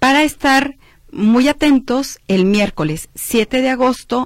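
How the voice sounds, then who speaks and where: A woman speaks with ordinary pitch variation. The sound is dry and close with no echo, on a very clean recording with a silent background. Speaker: university admissions official. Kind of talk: radio interview. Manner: clear.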